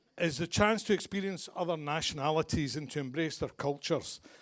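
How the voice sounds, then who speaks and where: A man with a Glaswegian accent talks at a moderate pace on a very clean recording with a silent background. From Scotland, Glasgow. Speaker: father of the bride. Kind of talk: wedding speech. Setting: wedding reception with guests.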